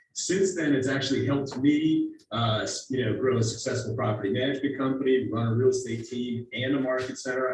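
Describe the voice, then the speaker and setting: A man at medium pitch and a fairly quick pace, with audible room echo and noticeable background noise. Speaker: real estate team leader and instructor. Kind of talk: presentation. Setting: video call. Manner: fast; animated.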